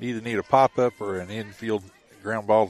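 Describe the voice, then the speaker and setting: Noticeable background noise surrounds a man with a fairly low pitch and a relaxed tone. His intonation is monotone and flat, and the sound is dry and close with no echo. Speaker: color commentator and coach. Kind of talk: live sports commentary, analysis. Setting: outdoors at ballpark. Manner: relaxed, conversational, analytical.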